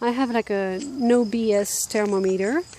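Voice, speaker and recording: A woman in a French accent has a fairly high pitch and a dark, mellow tone. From France. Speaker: life and business coach. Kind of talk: casual talking-head video. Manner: casual, many fillers.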